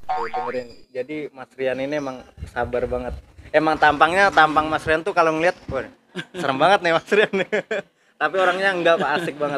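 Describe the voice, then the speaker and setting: A man with a Sundanese accent speaks at a fairly quick pace, his pitch fairly high and its variation ordinary. His tone is bright and sharp. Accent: Sundanese accent when speaking Indonesian. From Wonogiri, Central Java, then Banten. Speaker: vlogger. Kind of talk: casual vlog interview. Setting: outdoors at a bus terminal and a cattle farm.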